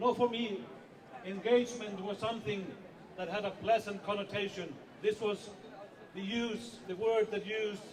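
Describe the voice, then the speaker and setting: Through audible room echo, a man speaks at a high pitch and a moderate pace with fairly even intonation. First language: not English. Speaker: editor-in-chief of a whistleblowing organisation. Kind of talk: rally speech.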